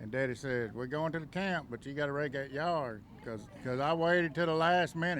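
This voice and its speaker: The speaker has a Southern US accent, talking at a fairly quick pace with ordinary pitch variation. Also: man, fairly high pitch for a man. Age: 50s. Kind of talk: casual chat.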